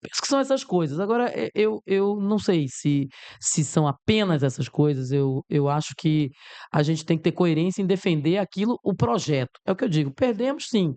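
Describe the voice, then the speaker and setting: A woman speaks at a moderate pace and a fairly low pitch, her pitch swinging very widely. Her loudness stays very even, and the sound is dry and close with no echo. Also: quiet background. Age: 60s. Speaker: politician. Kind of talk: interview.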